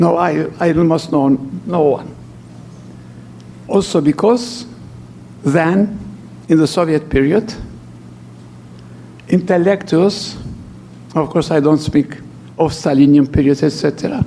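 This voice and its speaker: A man with a non-native accent talks at a fairly slow pace and fairly high pitch, with ordinary pitch variation. His loudness stays very even, broken by long, frequent pauses. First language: not English. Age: 80s+. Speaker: archbishop and lecturer. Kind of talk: lecture. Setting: church hall with audience.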